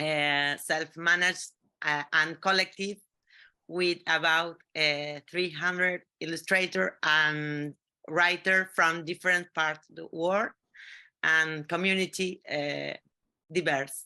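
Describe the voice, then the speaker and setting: A woman with a Spanish accent speaks very slowly in a fairly low, bright, sharp voice. Her intonation is flat and monotone against a quiet background. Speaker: collective magazine editor. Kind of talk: panel discussion. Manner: halting, hesitant.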